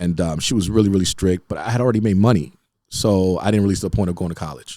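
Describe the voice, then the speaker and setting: Very deep and low in pitch, a man's dark, mellow voice rushes along at a very fast pace. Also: ordinary pitch variation. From Haiti, raised in Boston and South Florida. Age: 40s. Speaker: mortgage broker. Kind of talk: casual interview chat. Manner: animated storytelling with restarts.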